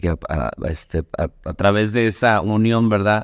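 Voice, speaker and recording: Pitch varies in an ordinary way as a man talks on a very clean recording with a silent background. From Mexico, Sonora. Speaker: pastor. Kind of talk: casual chat. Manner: halting, many fillers and repetitions.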